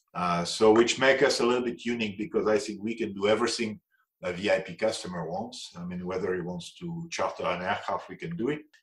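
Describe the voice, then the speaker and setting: This man speaks with a French accent at a fairly low pitch. He talks at a very fast pace with lively intonation. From France. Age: 60s. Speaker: aviation executive. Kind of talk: interview. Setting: podcast interview. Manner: hesitant with fillers.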